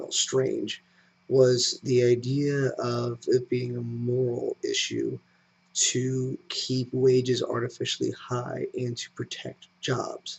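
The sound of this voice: At a slow pace, a man speaks at medium pitch with little pitch movement, a slightly mellow tone, a slightly husky edge and vocal fry.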